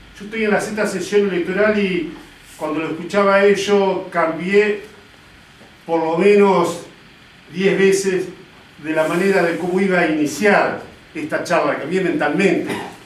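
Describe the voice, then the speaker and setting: Noticeable background noise and audible room echo surround a man who speaks at a high pitch with fairly even intonation. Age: 60s. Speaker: politician. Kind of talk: political speech. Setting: party committee meeting with audience. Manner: hesitant filler 'este'.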